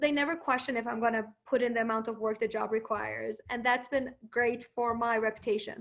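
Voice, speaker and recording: A woman with a Persian accent speaks at a fairly quick pace with hardly any pauses. Her fairly high voice stays monotone, with flat intonation. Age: 20s. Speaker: marketing professional and lawyer. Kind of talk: webinar interview.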